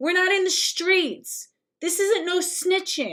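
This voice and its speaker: An extremely high-pitched woman's voice, animated in tone, with an American accent and a fairly slow pace. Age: 30s. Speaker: livestreamer and activist. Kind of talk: livestream commentary rant. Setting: livestream. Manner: animated, emphatic.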